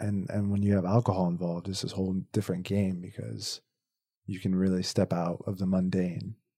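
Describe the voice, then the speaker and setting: On a very clean recording with a silent background, a soft-spoken man talks at a moderate pace in a very deep, low pitch with a dark, mellow tone and ordinary pitch variation. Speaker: photographer and videographer. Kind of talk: casual interview chat.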